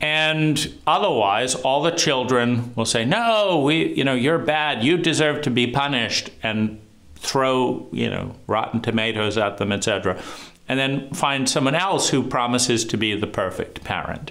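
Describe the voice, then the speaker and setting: A man talks at a very even loudness, with audible echo in the room. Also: medium pitch for a man, ordinary pitch variation, fairly slow pace. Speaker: trauma educator. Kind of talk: monologue lecture. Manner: halting.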